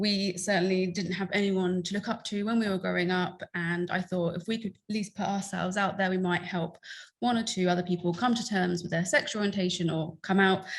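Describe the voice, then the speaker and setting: A woman with an American accent talks at a medium pitch and a fairly quick pace. Her voice is somewhat breathy, and her intonation stays fairly even. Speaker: LGBTQ+ content creator and activist. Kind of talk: conference talk.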